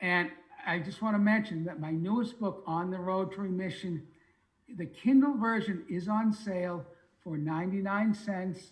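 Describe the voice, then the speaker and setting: A high-pitched man with a Boston accent, moderate pace and ordinary pitch variation. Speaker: retired sales manager and author. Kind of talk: interview, self-promotion pitch. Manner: fluent, no stuttering.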